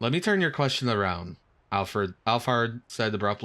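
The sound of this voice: This is an unforced reading voice. It stays that way throughout.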